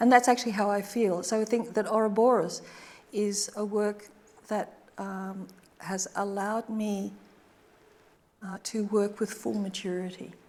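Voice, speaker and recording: In an Australian accent, a woman speaks at a fairly slow pace and medium pitch, with monotone, flat intonation and long, frequent pauses. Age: 70s. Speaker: artist. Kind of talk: Q&A after a public lecture. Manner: halting.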